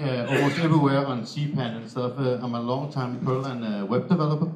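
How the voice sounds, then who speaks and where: There is noticeable background noise and audible room echo as a man with a Danish accent speaks at a fairly high pitch with fairly even intonation. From Denmark. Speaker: software developer. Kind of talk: conference talk. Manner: halting, many fillers.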